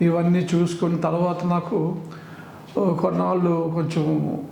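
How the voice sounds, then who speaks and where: A man with a high-pitched voice is heard through audible room echo and noticeable background noise. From Andhra Pradesh, Vizag. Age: 70s. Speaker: patient. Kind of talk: testimony.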